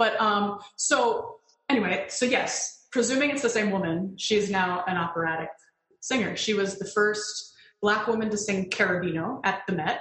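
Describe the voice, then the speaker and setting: A woman with an American accent, an unremarkable speaking voice, ordinary pitch variation and a moderate pace. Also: medium pitch for a woman. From Connecticut, US. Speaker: mezzo-soprano singer. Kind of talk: casual interview chat.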